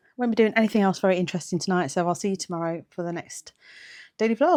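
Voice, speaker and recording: A woman speaks with an English accent at a medium pitch. Her pitch variation is ordinary. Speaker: lifestyle vlogger. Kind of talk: casual vlog chat. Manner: fast.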